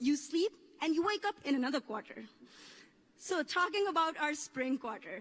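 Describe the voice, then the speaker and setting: A woman speaks in a Pakistani accent with lively intonation. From Pakistan, coastal area. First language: Urdu. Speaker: graduating student speaker. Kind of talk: commencement speech. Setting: stage with audience.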